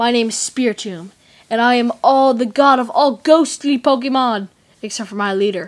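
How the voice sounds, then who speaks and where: In a put-on character voice, a female-sounding speaker uses a high pitch at a moderate pace on a very clean recording with a silent background. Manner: villainous, menacing.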